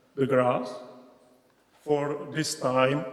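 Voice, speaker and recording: Noticeable background noise and audible room echo surround a man speaking with a Czech accent and fairly even intonation. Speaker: regional project officer. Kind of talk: conference presentation. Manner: halting, broken English.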